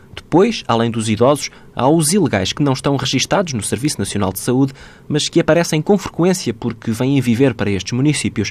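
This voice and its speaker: With lively intonation at a fairly quick pace, this is a plain, everyday voice. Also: man, medium pitch for a man. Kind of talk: scripted narration.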